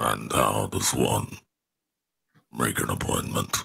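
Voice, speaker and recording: Putting on a character voice, a man speaks raspily at a very deep, low pitch and a fairly slow pace. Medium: actual play. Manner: blunt, direct.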